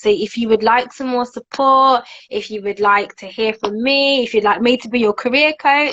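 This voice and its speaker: In a Birmingham accent, a woman talks at a moderate pace, her high voice showing ordinary pitch variation. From Birmingham, England. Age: 20s. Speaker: author and TV presenter. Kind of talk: casual interview chat.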